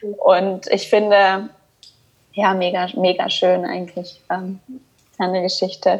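The speech moves at a very slow pace, broken by long, frequent pauses, in a monotone, flat intonation. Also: woman, medium pitch for a woman. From Rhineland, Cologne, Germany. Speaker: podcast host, coach. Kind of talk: casual interview.

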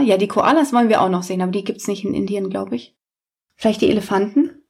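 Very fast and somewhat breathy, a woman speaks at a medium pitch with lively intonation. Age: 30s. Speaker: podcast co-host, teacher. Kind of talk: casual family chat.

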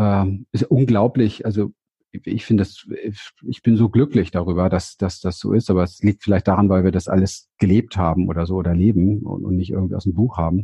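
Somewhat breathy and fairly low in pitch, a man speaks at a fairly quick pace with fairly even intonation. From Berlin, Germany. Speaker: therapist and seminar leader. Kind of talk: interview. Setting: video call, standing.

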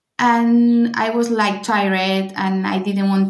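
Speaking in a Spanish accent at a very slow pace, a woman uses a medium pitch and monotone, flat intonation. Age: 30s. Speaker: bride-to-be. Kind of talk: interview.

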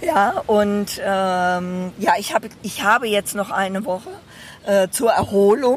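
The voice moves at a very slow pace with ordinary pitch variation. Noticeable background noise sits behind it. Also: woman, medium pitch for a woman. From Bedburg, western Germany (Rhineland). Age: 60s. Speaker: retired medical assistant, therapy client. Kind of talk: casual chat. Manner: hesitant, many fillers.

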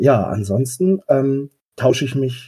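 A man talks in a medium pitch with a dark, mellow tone. His voice is somewhat breathy, and his intonation is lively. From Westphalia, Germany. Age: 30s. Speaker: game master, social worker. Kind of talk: casual interview. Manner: hesitant, many fillers.

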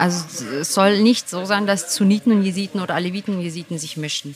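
A woman rushes along at a very fast pace while noticeable background noise carries on. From Germany, Turkish parents. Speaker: podcast host. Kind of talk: interview.

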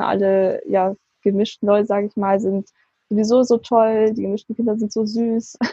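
Speaking at a moderate pace, a woman uses a fairly high, somewhat breathy voice with flat, monotone intonation. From southern Germany, Swabia. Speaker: university student. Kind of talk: interview.

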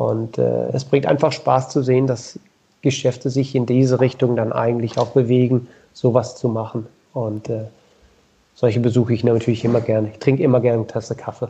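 The voice moves at a fairly quick pace and sounds somewhat breathy. Its intonation stays monotone and flat. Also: man, medium pitch for a man. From southern Denmark. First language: Danish (speaking German). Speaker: sponsorship liaison at a bike component company. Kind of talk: interview. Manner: hesitant, many fillers.

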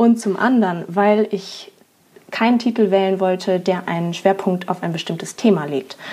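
There is noticeable background noise as a woman of medium pitch speaks at a moderate pace with ordinary pitch variation. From Germany. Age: 20s. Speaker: podcast host. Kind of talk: podcast intro monologue.

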